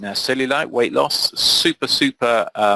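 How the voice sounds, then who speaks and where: A British accent comes through in a dry, close sound with no echo. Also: man. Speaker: SEO trainer. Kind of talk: webinar tutorial.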